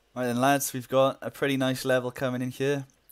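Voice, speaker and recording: The man talks at a moderate pace. Behind him, music can be heard. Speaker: gaming video creator. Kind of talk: gameplay commentary. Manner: casual, upbeat.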